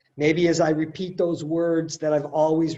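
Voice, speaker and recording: A man with a fairly high pitch and a dark, mellow tone at a moderate pace. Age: 60s. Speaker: liturgist leading a writing workshop. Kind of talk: webinar workshop talk. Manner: halting, with many fillers.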